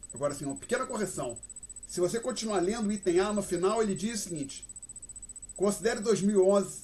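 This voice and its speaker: Ordinary pitch variation runs through speech at a fairly quick pace. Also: man. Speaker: university professor. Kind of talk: lecture. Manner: fast.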